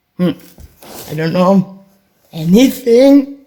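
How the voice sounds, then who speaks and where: A woman with a German accent and lively intonation. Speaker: vlogger. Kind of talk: solo monologue vlog. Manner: rambling, halting.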